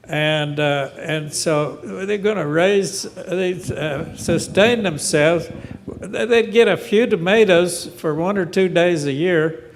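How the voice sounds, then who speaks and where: In an American accent, a man with a high pitch and ordinary pitch variation speaks at a very slow pace, with audible room echo and noticeable background noise. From western North Carolina. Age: 80s+. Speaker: audience member. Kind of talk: Q&A comment. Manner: halting.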